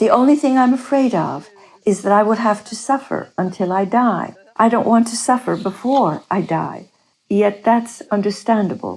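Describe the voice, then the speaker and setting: In a normal speaking voice, a woman speaks at a moderate pace, fairly high in pitch with ordinary pitch variation. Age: 60s. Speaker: near-death experiencer, retiree. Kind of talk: interview testimony.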